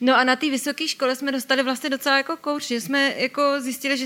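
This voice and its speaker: A woman's high, bright, sharp voice, raised and projected at a very fast pace. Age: 20s. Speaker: journalist. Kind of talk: talk show interview.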